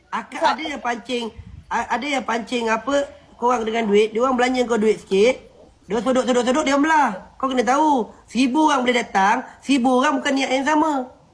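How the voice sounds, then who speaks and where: Noticeable background noise sits behind a man with an extremely high pitch. He speaks at a fairly quick pace with fairly even intonation. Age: 20s. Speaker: TikTok live streamer. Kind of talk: casual chat.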